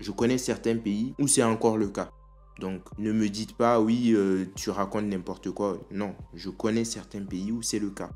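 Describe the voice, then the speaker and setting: A man's fairly low, monotone voice with flat intonation at a fairly slow pace, with music in the background. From Africa. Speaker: video commentator. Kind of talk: opinion commentary.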